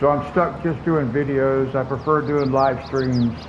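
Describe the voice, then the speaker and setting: A man amid noticeable background noise and audible room echo. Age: 60s. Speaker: gaming streamer. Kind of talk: casual live-stream chat. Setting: home live stream, air conditioner running.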